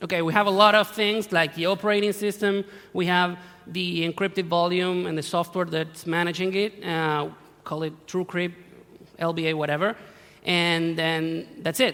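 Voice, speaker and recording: A man with an Argentine accent speaks at a moderate pace in a high pitch, his tone bright and sharp and his intonation fairly even, in a very clean recording with a silent background. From Argentina. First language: Spanish. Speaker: security researcher. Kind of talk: conference talk. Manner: halting, self-correcting.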